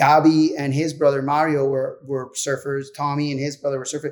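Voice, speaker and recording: A man with a Puerto Rican accent talks at a moderate pace and a fairly high pitch. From Puerto Rico. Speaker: pro surfer. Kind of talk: casual chat.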